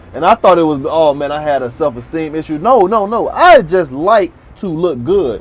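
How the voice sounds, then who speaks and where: Here a man with an American accent and an ordinary speaking voice talks at a moderate pace, his fairly high pitch carrying lively intonation. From South Florida, Miami area. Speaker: YouTube commentator. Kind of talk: casual monologue commentary.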